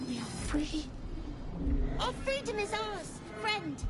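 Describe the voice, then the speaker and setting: Over loud background noise, a put-on character voice speaks at a fairly slow pace. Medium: short film. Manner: repetitive, echoing fragmented phrases.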